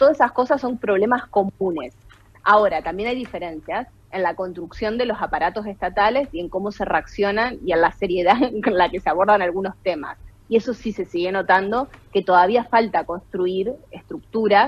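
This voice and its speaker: This woman speaks at a moderate pace in a medium pitch, with ordinary pitch variation. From Argentina, Santa Fe. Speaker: political science professor and researcher. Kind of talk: radio interview.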